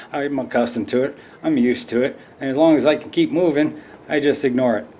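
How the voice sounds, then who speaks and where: With noticeable background noise behind him, a man with a fairly high pitch talks very fast in fairly even intonation. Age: 50s. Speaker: hiking vlogger. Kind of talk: casual product review vlog. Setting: home living room.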